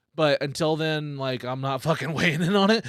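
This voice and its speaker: A man with a fairly high pitch and an unremarkable speaking voice talks at a fairly quick pace with ordinary pitch variation. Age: 30s. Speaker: comedian, podcast host. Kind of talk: casual podcast conversation.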